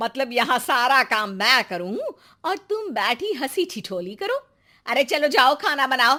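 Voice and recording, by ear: A woman's put-on character voice, high-pitched with big pitch swings, bright and sharp in tone, at a fairly slow pace on a very clean recording with a silent background.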